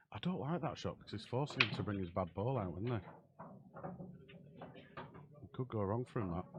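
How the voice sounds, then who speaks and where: Amid noticeable background noise, a man with a Yorkshire accent speaks at a moderate pace and fairly low pitch, with lively intonation, big swings in loudness and long, frequent pauses. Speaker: pool commentator. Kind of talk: live commentary. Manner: casual, chatty.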